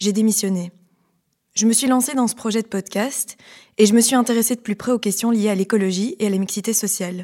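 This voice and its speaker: A woman speaks at a fairly quick pace in a dark, mellow tone. The recording is very clean, with a silent background. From Belgium, Liège. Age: 30s. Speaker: podcast host, former lawyer. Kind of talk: scripted narration.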